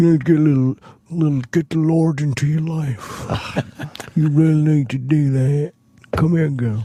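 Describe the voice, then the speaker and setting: In a put-on character voice, a man speaks with a Southern accent at a fairly high pitch. Long pauses come often. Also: moderate pace. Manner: scolding, pushy.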